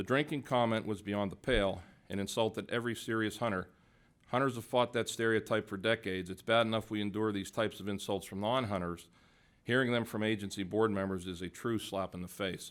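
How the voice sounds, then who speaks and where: In a very clean recording with a silent background, a man speaks fairly quickly with an American accent, his fairly low pitch and fairly even intonation giving a plain, everyday voice. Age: 60s. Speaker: hunting advocate testifying at hearing. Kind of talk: prepared testimony. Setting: public hearing. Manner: formal.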